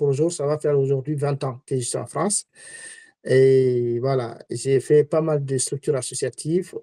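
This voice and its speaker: The speaker is a man with a medium pitch. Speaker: entrepreneur and community activist. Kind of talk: webinar talk. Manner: halting.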